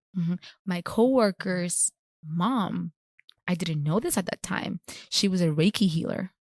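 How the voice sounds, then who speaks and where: A woman talks at a fairly slow pace, leaving long, frequent pauses. Her voice is somewhat breathy, and the sound is dry and close with no echo. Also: medium pitch for a woman, ordinary pitch variation. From Puerto Rico. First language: Spanish. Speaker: chiropractor. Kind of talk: interview.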